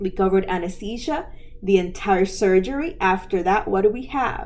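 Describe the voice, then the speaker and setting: In audible room echo, a woman speaks at medium pitch. She keeps a moderate pace with ordinary pitch variation. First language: not English. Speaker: medical coding educator, podcast host. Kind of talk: educational podcast lecture. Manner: conversational, with filler words.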